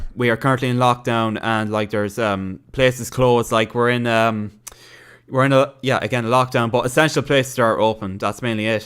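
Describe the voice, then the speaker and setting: On a very clean recording with a silent background, a man in an Irish accent speaks fairly quickly with fairly even intonation. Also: medium pitch for a man. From Ireland. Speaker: gaming streamer. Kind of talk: casual livestream chat reading viewer comments. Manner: halting, many fillers and restarts.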